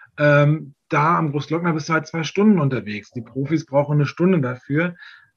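A man speaks at a fairly quick pace with a fairly high pitch. His voice is somewhat breathy, with ordinary pitch variation. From Berlin area, Germany. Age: 40s. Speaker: tour guide and long-term traveller. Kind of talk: casual interview.

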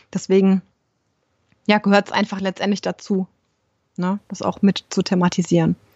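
Monotone, flat intonation at a moderate pace, somewhat breathy, with long, frequent pauses. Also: woman, medium pitch for a woman. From Germany, Rhein-Main area. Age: 30s. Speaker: yoga teacher and holistic coach. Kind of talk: interview.

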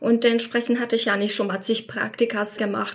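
A woman talks with a Polish accent at a fairly high pitch. Noticeable background noise runs underneath. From Poland. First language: Polish (speaking German). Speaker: former coaching client, insurance professional. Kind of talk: interview.

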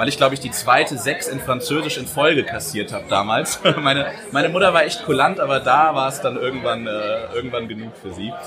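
With noticeable background noise and audible room echo, a man talks at a fairly quick pace and fairly high pitch, using ordinary pitch variation. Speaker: podcast host. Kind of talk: casual chat. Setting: live show with audience.

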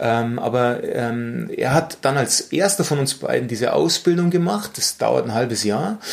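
A man talks at a fairly slow pace. Noticeable background noise runs underneath. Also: hardly any pauses. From Bavaria, Munich. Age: 40s. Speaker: mental coach. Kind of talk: interview conversation. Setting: office meeting room. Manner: calm, measured.

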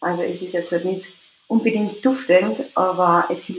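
A woman speaks with an Austrian accent. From Austria, Tyrol. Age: 20s. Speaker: care assistant with psoriasis. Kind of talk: interview. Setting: remote call.

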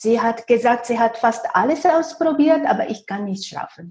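A woman with a Japanese accent, high-pitched yet dark and mellow in tone, with lively intonation at a fairly slow pace. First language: Japanese (speaking German). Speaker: feng shui consultant. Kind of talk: interview. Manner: halting, many fillers.

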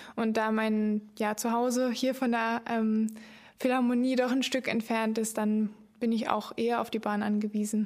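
Monotone, flat intonation at a fairly slow pace, with very even loudness. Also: woman, fairly high pitch for a woman. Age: young. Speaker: podcast host, cultural volunteer. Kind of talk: casual podcast chat.

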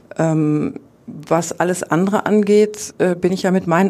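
Noticeable background noise sits behind a woman's voice. Her pitch is fairly low and her intonation fairly even. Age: 40s. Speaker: athletics coach. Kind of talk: interview.

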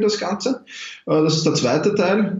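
Over noticeable background noise, a man with a Viennese accent speaks at a moderate pace. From Austria, Vienna. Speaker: self-management coach. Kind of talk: interview. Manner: animated.

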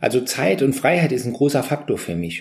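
Speaking at a fairly quick pace, a man with a medium pitch and vocal fry swings his pitch very widely. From Saarland, Germany. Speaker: motivational speaker and coach. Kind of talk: interview. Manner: animated.

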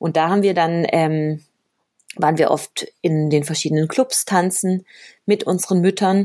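A woman's fairly low-pitched voice with ordinary pitch variation, an ordinary speaking voice, on a very clean recording with a silent background. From Colombia (Cali) until age 10, then Germany. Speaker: professional salsa dancer and teacher. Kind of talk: casual interview chat.

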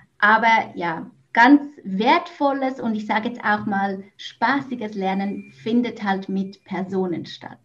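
A woman speaks very slowly with a Swiss German accent. Her medium-pitched voice is somewhat breathy, with ordinary pitch variation. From Switzerland. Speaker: business coach, former teacher. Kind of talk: podcast interview.

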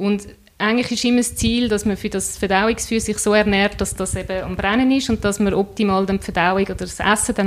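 With hardly any pauses, a woman talks at a fairly quick pace and a medium pitch in a monotone, flat intonation. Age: 30s. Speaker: entrepreneur, nutrition coach. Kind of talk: interview.

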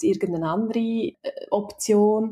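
A dark, mellow, somewhat breathy tone with lively intonation at a moderate pace. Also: woman. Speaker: HR consultant and mother. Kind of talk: interview. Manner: hesitant, many fillers.

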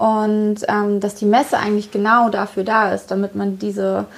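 A woman of medium pitch speaks with monotone, flat intonation. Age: 30s. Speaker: author and podcast host. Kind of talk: casual chat. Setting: hotel room.

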